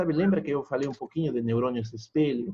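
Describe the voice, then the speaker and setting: Speaking at a moderate pace, a man with an ordinary speaking voice has a fairly high pitch and ordinary pitch variation. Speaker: pharmacology lecturer. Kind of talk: online lecture. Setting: video call class.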